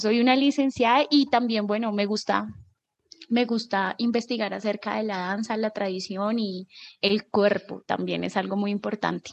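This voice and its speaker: Her intonation fairly even, a woman with a fairly high pitch speaks at a fairly slow pace. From Colombia, Bogotá. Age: 20s. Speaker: nudist community organizer, actress and dancer. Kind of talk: casual interview.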